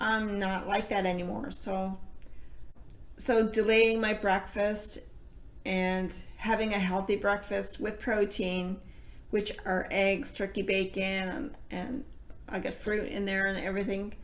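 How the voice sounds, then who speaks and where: A normal speaking voice from a woman, medium in pitch, at a fairly slow pace with fairly even intonation. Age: 50s. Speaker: weight loss vlogger. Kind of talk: casual talk to camera.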